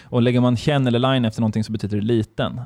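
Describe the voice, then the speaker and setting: A man speaks very fast at medium pitch. His intonation is flat and monotone. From Sweden. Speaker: podcast guest, half-German. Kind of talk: casual chat.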